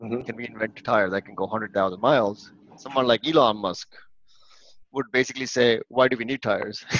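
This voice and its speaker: Big swings in loudness mark a man's speech at a medium pitch and a fairly quick pace, with fairly even intonation. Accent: Indian. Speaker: engineering leader. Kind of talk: casual chat. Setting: video call.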